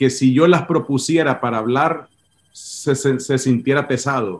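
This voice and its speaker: In very slow speech, a man uses a fairly high pitch and fairly even intonation. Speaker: pastor. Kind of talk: interview. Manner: halting, many repetitions.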